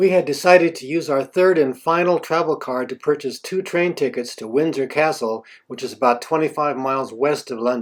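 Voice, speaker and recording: A man talks at a fairly quick pace in an unremarkable speaking voice, pitched fairly high. His loudness swings widely, while his pitch varies an ordinary amount. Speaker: travel video narrator. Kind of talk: scripted narration.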